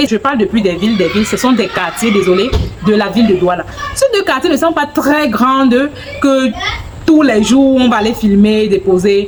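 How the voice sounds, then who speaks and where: A woman with a fairly high pitch and lively intonation speaks at a moderate pace, her loudness very even. She leaves long, frequent pauses, and there is noticeable background noise. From Anglophone Cameroon. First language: English (speaking French). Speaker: vlogger. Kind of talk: casual vlog talk to camera. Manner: halting, searching for words.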